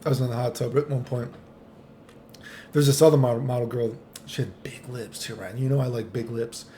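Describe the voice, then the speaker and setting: Somewhat breathy, a man talks at a medium pitch with fairly even intonation. He leaves long, frequent pauses. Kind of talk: casual talk to camera; storytelling about personal experiences.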